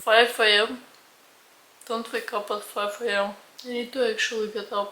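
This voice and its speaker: A soft-spoken woman's fairly high voice, bright and sharp in tone, flat and monotone, at a moderate pace. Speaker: lifestyle vlogger. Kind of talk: vlog narration.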